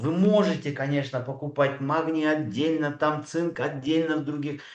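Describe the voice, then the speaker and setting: At a moderate pace, a man speaks with a fairly high pitch in a space with audible room echo. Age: 60s. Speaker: doctor speaking at a network marketing training. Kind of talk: sales pitch. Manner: hesitant, many filler sounds.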